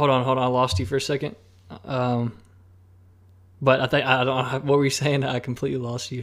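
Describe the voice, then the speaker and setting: An American-accented man at medium pitch talks at a very fast pace with fairly even intonation and long, frequent pauses. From Alabama, US South. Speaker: filmmaker and drone pilot. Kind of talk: casual interview chat.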